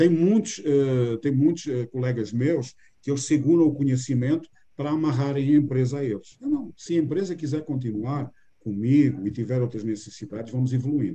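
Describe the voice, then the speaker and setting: A man with a strong Portuguese accent talks at a moderate pace in a fairly high pitch with ordinary variation. His tone is dark and mellow, and somewhat breathy. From Portugal. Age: 60s. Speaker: business mentor. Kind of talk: interview.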